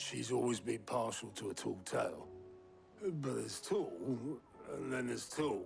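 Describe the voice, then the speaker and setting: A man in a raspy, put-on character voice speaks at a moderate pace with long, frequent pauses over clear background noise. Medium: video game. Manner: dry, wry.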